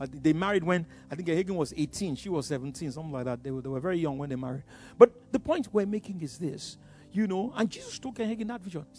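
A man at a very fast pace with lively intonation. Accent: Nigerian. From Nigeria (Yoruba). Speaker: pastor. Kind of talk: sermon.

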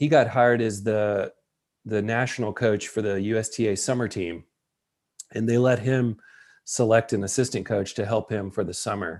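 A man with a Tennessee accent, moderate pace and fairly even intonation, in a very clean recording against a silent background. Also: medium pitch for a man. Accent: Southern US (Tennessee). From US South, West Tennessee. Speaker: college tennis coach. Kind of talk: interview conversation.

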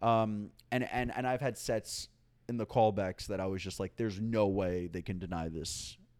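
A plain, everyday voice with an American accent, at a moderate pace and with ordinary pitch variation, in a very clean recording with a silent background. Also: man. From New York City, Upper East Side. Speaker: stand-up comedian. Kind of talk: casual chat. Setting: at guest's home.

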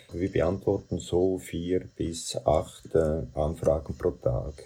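The speaker is a man. His voice is very deep and low in pitch. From Central Switzerland. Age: 70s. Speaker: doctor. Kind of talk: interview. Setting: video call.

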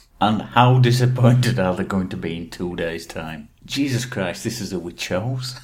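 With an English accent, a man speaks at a fairly low pitch and a moderate pace, using lively intonation and hardly any pauses. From England. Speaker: podcast co-host. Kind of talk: casual chat.

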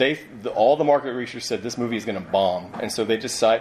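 A man with a medium-pitched voice talks as noticeable background noise carries on. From US Midwest (Ohio). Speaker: screenwriter and novelist. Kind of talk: live convention panel. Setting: stage with audience.

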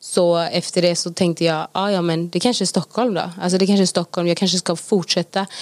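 A woman speaks in a flat monotone at a fairly low pitch. Her pace is fairly quick, with hardly any pauses. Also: dry, close sound with no echo. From Gothenburg, Sweden. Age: 20s. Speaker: Bible school student. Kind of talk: casual interview.

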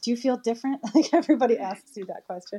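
A woman's fairly high voice with a dark, mellow tone and lively intonation. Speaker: chat room moderator and regular. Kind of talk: casual group discussion. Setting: online audio chat room.

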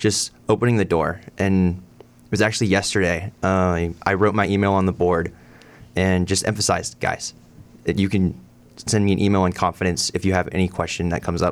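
This man has an American accent and a very deep, low pitch. He talks at a fairly quick pace with fairly even intonation. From Texas, Irving near Dallas. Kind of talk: radio interview. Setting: studio.

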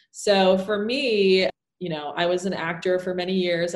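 Fairly even intonation and a fairly low pitch shape a woman's unremarkable speaking voice. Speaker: actor and business coach. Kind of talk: casual interview chat.

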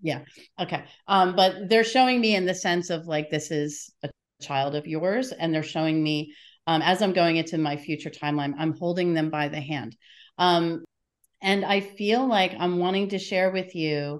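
A woman speaks with a fairly low pitch and ordinary pitch variation. Her pace is moderate, and the background is quiet. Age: 50s. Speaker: psychic medium. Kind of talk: psychic reading.

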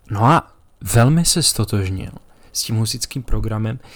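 A man with a medium pitch and an ordinary speaking voice talks at a moderate pace on a very clean recording with a silent background. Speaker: podcast host. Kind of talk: solo podcast monologue on religious history. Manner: casual, profane banter.

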